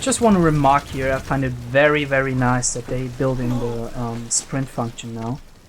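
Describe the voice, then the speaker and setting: Over noticeable background noise, a man of medium pitch talks at a fairly slow pace with fairly even intonation. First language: not English. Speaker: video game let's player. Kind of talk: gameplay commentary. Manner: casual, with filler hesitations.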